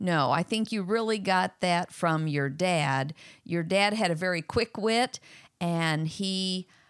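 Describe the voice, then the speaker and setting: In a very clean recording with a silent background, a woman speaks very slowly at a fairly low pitch, her sound dry and close with no echo. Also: ordinary pitch variation. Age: 60s. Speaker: host's mother. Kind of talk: casual Q&A.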